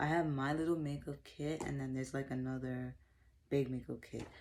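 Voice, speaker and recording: A soft-spoken woman with a very deep, low pitch and a dark, mellow tone at a moderate pace. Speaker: makeup vlogger. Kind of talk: casual product review vlog.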